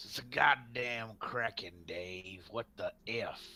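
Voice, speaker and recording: A man speaks at a fairly slow pace in a raspy, put-on character voice with a medium pitch. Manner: exasperated, swearing.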